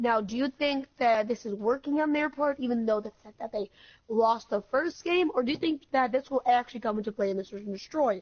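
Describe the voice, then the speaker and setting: Pitch varies in an ordinary way. The speech moves fairly quickly. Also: woman, high pitch for a woman. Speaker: esports caster. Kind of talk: live commentary. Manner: stutter.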